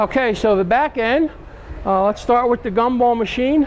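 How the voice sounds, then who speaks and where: Someone speaks with an American accent and ordinary pitch variation. Noticeable background noise runs under the voice. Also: man. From New York. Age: 60s. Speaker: van enthusiast. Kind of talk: casual show-and-tell. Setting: outdoor truck show.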